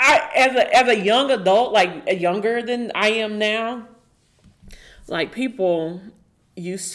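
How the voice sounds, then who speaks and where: A woman's medium-pitched voice with an American accent, a plain, everyday voice, lively intonation and a fairly slow pace, on a very clean recording with a silent background. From Oklahoma, US. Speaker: podcast guest. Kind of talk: casual interview chat.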